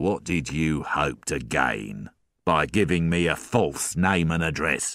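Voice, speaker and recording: A man growls in a put-on character voice, very deep and low in pitch, at a fairly slow pace. His intonation is lively and his loudness very even. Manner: slow, threatening.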